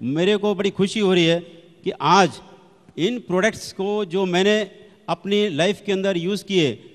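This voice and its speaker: A man talks in a high pitch. Noticeable background noise runs underneath. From Delhi, India. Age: 60s. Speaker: retired manager giving product testimony. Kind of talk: testimony speech. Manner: animated.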